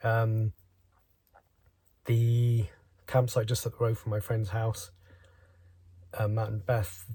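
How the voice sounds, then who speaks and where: In an English accent, a man speaks very slowly at a medium pitch, with a dark, mellow, somewhat breathy tone, monotone, flat intonation and long, frequent pauses. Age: 50s. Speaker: vlogger. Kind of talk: vlog monologue. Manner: halting.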